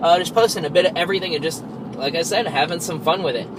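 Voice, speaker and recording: With an American accent, a man speaks at a high pitch with ordinary pitch variation, amid audible room echo and noticeable background noise. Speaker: vlogger. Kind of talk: casual vlog monologue. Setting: in a car, driving to work. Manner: frequent filler words (um).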